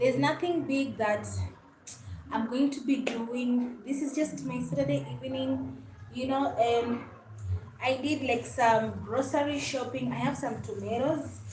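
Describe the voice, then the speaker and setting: A woman at a fairly slow pace with long, frequent pauses, over noticeable background noise and audible room echo. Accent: Kenyan. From Kenya (Luhya). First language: Luhya. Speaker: YouTuber, lifestyle vlogger. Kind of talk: casual livestream chat while cooking.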